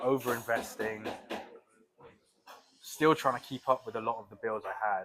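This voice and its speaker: The voice has a bright, sharp tone and fairly even intonation, moving at a moderate pace with long, frequent pauses and big swings in loudness. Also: man, medium pitch for a man. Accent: British. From UK. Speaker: crypto trader. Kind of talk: podcast interview. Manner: casual.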